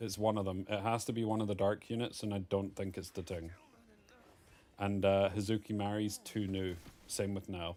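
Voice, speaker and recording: Dark and mellow in tone, a man's voice sits at a fairly low pitch. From Scotland, near Edinburgh. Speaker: streamer casting a game. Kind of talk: live commentary. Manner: animated.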